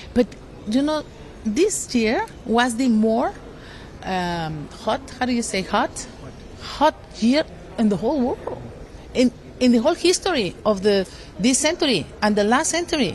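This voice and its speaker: Over noticeable background noise, a woman with a Mexican accent speaks in a high voice with very wide pitch swings and long, frequent pauses. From Mexico. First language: Spanish. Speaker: politician. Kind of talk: interview. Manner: halting.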